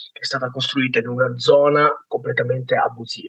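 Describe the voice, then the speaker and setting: Bright and sharp in tone, a man speaks in a fairly high pitch. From Naples, southern Italy. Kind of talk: casual interview, personal testimony.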